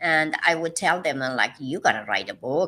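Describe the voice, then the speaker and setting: A woman speaks in an Iranian accent with a bright, sharp tone. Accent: Iranian (Persian) accent in English. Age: 60s. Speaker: nurse, author and speaker. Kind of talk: interview testimony.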